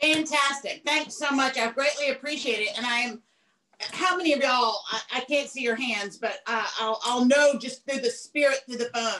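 A woman in a Southern US accent speaks in a raised, projected voice at a high pitch, with ordinary pitch variation and a moderate pace. Light background noise is audible. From southern United States. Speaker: cooking instructor. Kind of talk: casual greeting to online audience. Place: kitchen. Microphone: video call.

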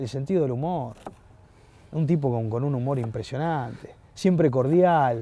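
A man speaks at a moderate pace with lively intonation and a dark, mellow tone. The sound is dry, with no echo. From Buenos Aires, Argentina; Argentina. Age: 40s. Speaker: sports journalist. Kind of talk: casual chat. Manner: halting, frequent repetitions. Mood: warm, nostalgic. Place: garden. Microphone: lapel.

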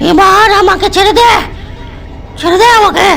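A put-on character voice, raspy, nasal and shrill, over clear background noise. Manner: pleading.

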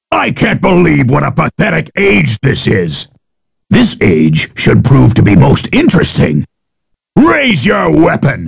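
A man puts on a raspy character voice at medium pitch. He speaks at a fairly slow pace. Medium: dub. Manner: taunting, boastful.

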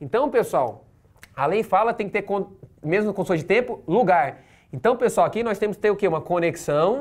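A man's high-pitched voice with lively intonation, at a fairly quick pace. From Brazil. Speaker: law exam-prep teacher. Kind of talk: lecture. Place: classroom.

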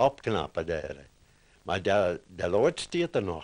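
Speaking very slowly, a man delivers the words. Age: 80s+. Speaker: former farmhand. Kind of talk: interview answer. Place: home room. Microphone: handheld.

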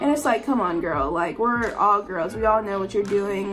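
A woman's medium-pitched voice with lively intonation and clear music in the background. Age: young. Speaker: college student. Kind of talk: casual storytime talk to camera. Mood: exasperated, animated storytelling. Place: home room. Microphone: phone near.

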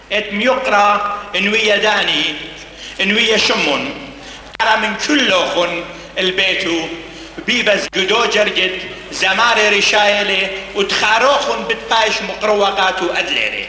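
In a raised, projected voice, a man talks at a very slow pace with fairly even intonation and very even loudness. Audible room echo and light background noise surround him. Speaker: event host announcer. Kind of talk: stage announcement speech. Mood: celebratory formal. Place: hall.

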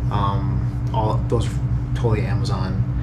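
A man's voice over loud background noise. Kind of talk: casual vlog chat. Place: home room. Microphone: phone near.

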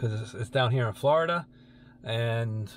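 Somewhat breathy, a man speaks at a fairly slow pace in a dry sound with no echo over light background noise. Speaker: car hobby vlogger. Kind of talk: casual vlog chat. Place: car. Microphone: phone near.

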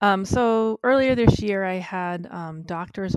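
With an American accent, a woman speaks in a normal speaking voice at a medium pitch, at a fairly slow pace with ordinary pitch variation. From Massachusetts, Cape Cod. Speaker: artist and blogger. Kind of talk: casual chat.

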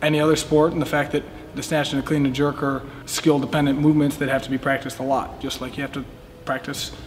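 A man at a very fast pace in a monotone, flat intonation, with light background noise. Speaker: weightlifting coach. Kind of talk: interview answer. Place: gym.

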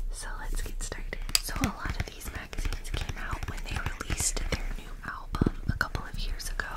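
The speaker whispers with hardly any pauses. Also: fairly quick pace. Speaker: ASMR creator. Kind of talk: ASMR whispered magazine flip-through. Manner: whispered, soft-spoken.

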